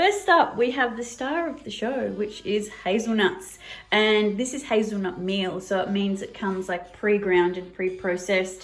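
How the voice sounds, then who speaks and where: A woman speaks with an Australian accent at a moderate pace. She hardly pauses at all. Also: medium pitch for a woman, ordinary pitch variation. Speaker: cooking video host. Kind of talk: cooking tutorial. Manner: casual, with frequent fillers.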